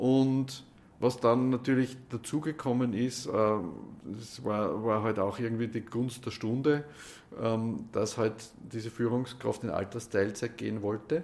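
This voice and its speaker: Speaking in an Austrian accent, a man talks at a fairly slow pace. His medium pitch stays in a fairly even intonation. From Upper Austria, Gmunden. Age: 60s. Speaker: mediator and trainer. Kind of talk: interview.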